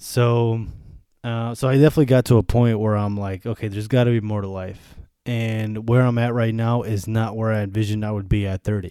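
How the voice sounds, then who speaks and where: This man speaks at a fairly quick pace and medium pitch with a Western New York accent, his tone dark and mellow on a very clean recording with a silent background. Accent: Western New York American. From US Northeast, Buffalo, New York. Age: 30s. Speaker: podcaster. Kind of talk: casual monologue. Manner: animated.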